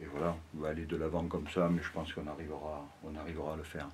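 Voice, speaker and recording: With audible room echo around him, a man talks in a very deep, low voice. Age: 60s. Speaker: local association member. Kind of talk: interview, guided site tour. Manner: halting, many hesitations and repetitions.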